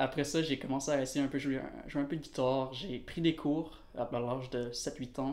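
In a monotone, flat delivery, a man speaks at a fairly high pitch. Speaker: musician. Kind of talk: casual chat.

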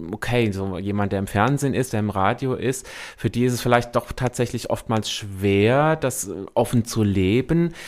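A man at a very slow pace with ordinary pitch variation, in a very clean recording with a silent background. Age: 40s. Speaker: community radio host. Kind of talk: casual interview. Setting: radio studio. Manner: hesitant, many fillers.

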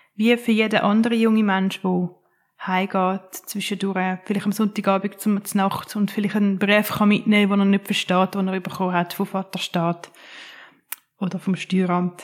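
Her pitch sits at a medium level, and her intonation is monotone and flat. The woman keeps a moderate pace. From Switzerland, Winterthur. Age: 30s. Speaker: social care worker and advocate for care leavers. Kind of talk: interview.

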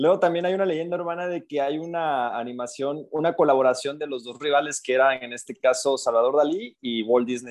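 A man with a normal speaking voice, fairly high pitch, ordinary pitch variation, a fairly quick pace, hardly any pauses and big swings in loudness. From Coatzacoalcos, Veracruz, Mexico. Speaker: podcast co-host. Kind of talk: casual chat.

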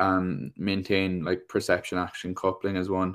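On a very clean recording with a silent background, someone with an Irish accent talks at a moderate pace. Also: man. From Ireland. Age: 20s. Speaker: PE teacher and tennis coach. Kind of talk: casual chat.

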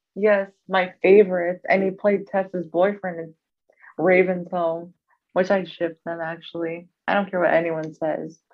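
The voice moves at a fairly slow pace with little pitch movement. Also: woman, fairly low pitch for a woman.

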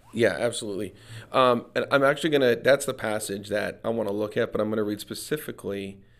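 In a very clean recording with a silent background, a man with an American accent has an ordinary speaking voice, fairly low in pitch with ordinary pitch variation. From US Midwest, Minnesota. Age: 50s. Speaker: pastor and author. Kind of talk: casual chat.

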